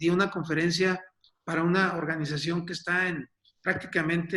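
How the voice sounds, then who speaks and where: At a moderate pace, a man talks with a high pitch. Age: 60s. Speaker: business coach and speaker. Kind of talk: webinar presentation. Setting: online webinar.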